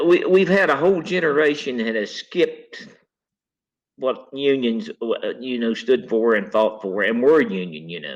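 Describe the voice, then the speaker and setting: A man's voice with vocal fry and an Appalachian accent, very wide pitch swings, and a fairly slow pace. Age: 60s. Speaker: retired coal miner. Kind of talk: interview. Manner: halting.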